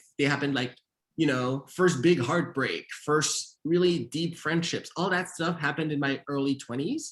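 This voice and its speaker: Keeping a moderate pace, a man speaks with a fairly high pitch and fairly even intonation. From Montreal, Canada. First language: Haitian Creole. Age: 30s. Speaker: author and screenwriter. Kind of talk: author interview. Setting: virtual event.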